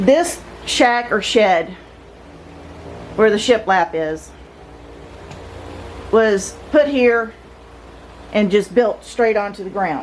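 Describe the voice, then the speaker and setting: Amid noticeable background noise, a woman with a fairly high pitch speaks at a very slow pace with long, frequent pauses. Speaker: home renovation vlogger. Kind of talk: casual video narration. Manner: halting.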